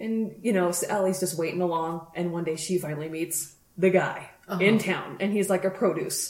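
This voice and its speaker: Speaking with an American accent in a fairly low voice, a woman is heard with audible room echo and noticeable background noise. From US, Colorado (Grand Junction). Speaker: podcast co-host. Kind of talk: casual chat.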